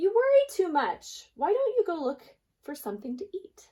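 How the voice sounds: A woman puts on a character voice at an extremely high pitch, with very wide pitch swings, a dark, mellow tone and a moderate pace.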